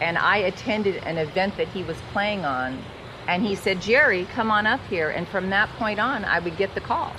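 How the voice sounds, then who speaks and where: With lively intonation and a medium pitch, a woman speaks at a moderate pace amid noticeable background noise. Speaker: blues singer. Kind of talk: interview.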